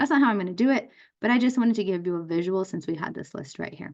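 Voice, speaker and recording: Against a quiet background, a woman speaks in a plain, everyday voice at medium pitch with lively intonation. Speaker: math teacher. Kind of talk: lecture. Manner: casual.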